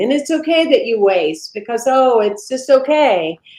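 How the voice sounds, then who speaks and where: A woman speaks in a Southern US accent. Her high voice makes very wide pitch swings. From US South. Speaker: minister. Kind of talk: interview conversation. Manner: animated.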